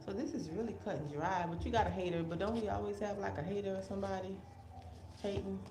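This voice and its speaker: Over noticeable background noise and audible room echo, a woman talks at a very fast pace in a very deep, low pitch with very wide pitch swings. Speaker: tarot reader. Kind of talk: live tarot reading. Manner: casual, thinking aloud.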